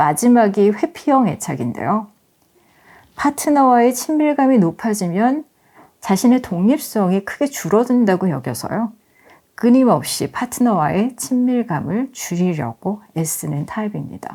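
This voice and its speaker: The tone is dark and mellow, the pace fairly slow, and the pitch swings very wide. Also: woman, fairly high pitch for a woman. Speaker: author reading her own essay audiobook. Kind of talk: audiobook essay reading with commentary, ASMR-style relaxing narration.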